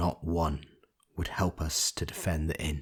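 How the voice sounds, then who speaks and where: On a very clean recording with a silent background, a somewhat breathy man speaks at a fairly slow pace. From Northern Ireland. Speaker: audiobook narrator. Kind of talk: audiobook reading.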